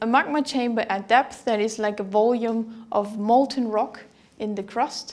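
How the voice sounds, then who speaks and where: A woman speaks at a fairly slow pace, her pitch varying in an ordinary way. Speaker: university geology lecturer. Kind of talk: lecture. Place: studio. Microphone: lapel.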